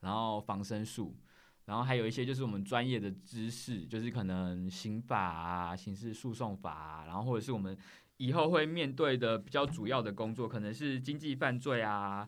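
Using lively intonation and medium pitch, a man speaks at a moderate pace. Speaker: government investigator. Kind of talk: interview. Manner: articulate.

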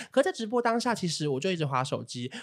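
A man's high-pitched voice in a Taiwanese accent, with very wide pitch swings. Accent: Taiwanese Mandarin. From Taiwan, Taipei. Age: 20s. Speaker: podcast co-host, influencer. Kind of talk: casual chat.

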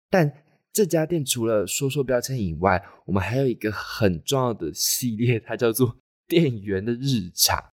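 With an unremarkable speaking voice, a man at medium pitch talks at a moderate pace with lively intonation on a very clean recording with a silent background. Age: 20s. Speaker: podcast host, design student. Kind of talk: solo monologue podcast.

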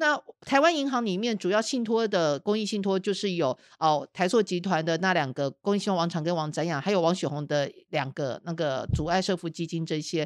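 A woman's fairly low, animated voice with lively intonation, at a fairly quick pace with hardly any pauses, on a very clean recording with a silent background. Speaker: investigative journalist and podcast host. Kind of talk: casual chat.

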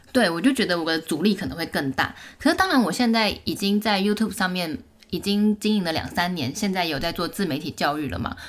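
An ordinary speaking voice with lively intonation and a fairly quick pace. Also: woman, medium pitch for a woman. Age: 30s. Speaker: YouTuber. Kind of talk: casual interview.

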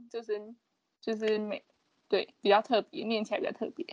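A woman's fairly high voice at a fairly quick pace. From Taiwan, Pingtung. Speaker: podcast co-host. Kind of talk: casual chat.

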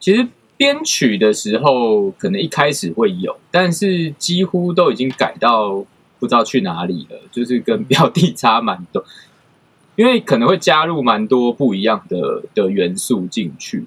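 A man at a fairly slow pace with very wide pitch swings. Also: medium pitch for a man. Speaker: music producer. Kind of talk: casual chat. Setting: online recording. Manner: pauses before speaking.

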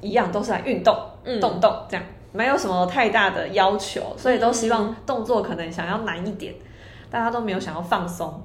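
With lively intonation and medium pitch, a woman speaks amid audible room echo. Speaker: yoga teacher. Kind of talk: casual chat.

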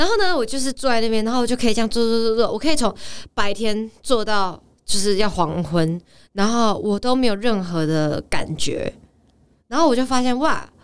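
Recorded very cleanly against a silent background, a woman speaks at a moderate pace with a fairly high pitch and lively intonation. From Taiwan. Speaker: actress and professional dancer. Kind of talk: casual chat. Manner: animated.

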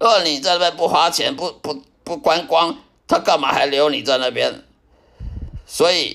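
A man with a high pitch and bright, sharp tone talks at a moderate pace with lively intonation. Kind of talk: personal testimony. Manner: halting, with repetitions and fillers.

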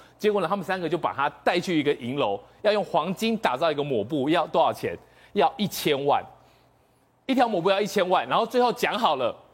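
Fairly quick male speech, its pitch swinging very widely. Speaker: TV political talk show commentator. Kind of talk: storytelling on a TV talk show. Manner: animated, dramatic.

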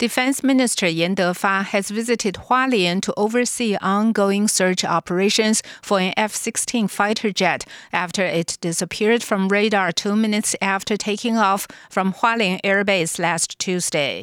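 A woman speaks in a plain, everyday voice. Her loudness stays very even, with ordinary pitch variation. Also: medium pitch for a woman, moderate pace. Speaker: radio newsreader. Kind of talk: news reading. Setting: studio. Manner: formal; steady, brisk newsreader delivery.

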